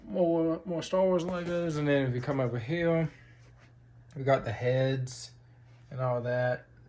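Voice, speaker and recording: Spoken fairly slowly with a Southern US accent, the voice has ordinary pitch variation and long, frequent pauses. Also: man, fairly high pitch for a man. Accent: Southern US accent (remarked on). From North Carolina, Lumberton. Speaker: vlogger. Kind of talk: casual video diary. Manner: halting, many fillers.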